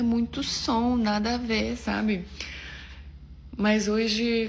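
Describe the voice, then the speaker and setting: A woman's fairly high voice, monotone and flat, at a very slow pace, with audible room echo. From Russia, Samara. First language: Russian (speaking Portuguese). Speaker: actress. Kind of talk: casual vlog talk.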